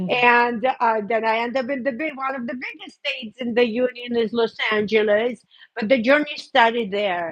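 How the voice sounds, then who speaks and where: A woman speaks loudly at a high pitch. She leaves hardly any pauses. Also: fairly even intonation, moderate pace. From Belarus. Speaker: hairdresser. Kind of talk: interview testimony.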